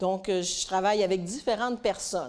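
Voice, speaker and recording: A voice with a Quebec accent and ordinary pitch variation, on a very clean recording with a silent background. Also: woman. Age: 60s. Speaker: conference speaker. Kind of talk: talk at a women's conference.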